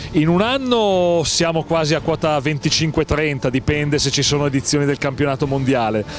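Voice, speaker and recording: A man's fairly high voice at a fairly quick pace with hardly any pauses, ordinary pitch variation and very even loudness, dry with no echo, over music in the background. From Milan, Italy. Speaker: sports event announcer (speaker) for orienteering. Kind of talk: interview answer.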